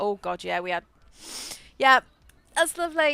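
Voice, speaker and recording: In a raised, projected voice with a bright, sharp tone, a woman with an English accent makes very wide pitch swings. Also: very clean recording, silent background. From England, rural farming village. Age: 30s. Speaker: gaming streamer. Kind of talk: casual chat. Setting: live stream. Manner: halting.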